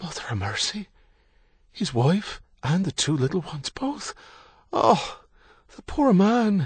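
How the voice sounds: A man puts on a character voice that is high for a man, with a husky, rough edge. He speaks at a slow pace with big pitch swings.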